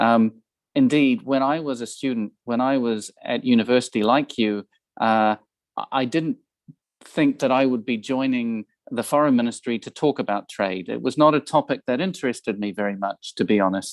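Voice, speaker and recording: In a New Zealand accent, a man speaks at medium pitch with ordinary pitch variation. The recording is dry and close, with no echo. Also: moderate pace. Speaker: ambassador. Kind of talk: guest talk to students. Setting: video call. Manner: hesitant with fillers and repetitions.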